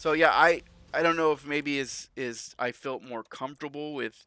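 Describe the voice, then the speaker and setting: Bright and sharp in tone, a man speaks at a moderate pace with fairly even intonation in a very clean recording with a silent background. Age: 40s. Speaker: video game live streamer. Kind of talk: casual live stream chat while gaming. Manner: halting, frequent self-interruptions and restarts.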